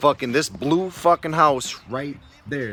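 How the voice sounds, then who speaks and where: A man with an American accent talks in an animated tone at a fairly high pitch and a fairly slow pace, over noticeable background noise. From Connecticut. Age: 30s. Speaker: vlogger. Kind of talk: casual chat. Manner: animated storytelling, heavy swearing.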